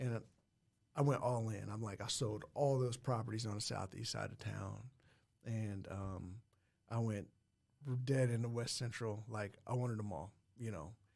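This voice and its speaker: A man talks at a moderate pace with a medium pitch and fairly even intonation. His voice is somewhat breathy, broken by long, frequent pauses. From Muncie, Indiana. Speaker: school principal and real estate investor. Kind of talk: casual interview chat.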